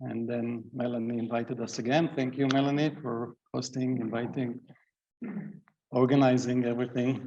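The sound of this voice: The man's tone is dark and mellow, with little pitch movement. His pace is moderate. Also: medium pitch for a man.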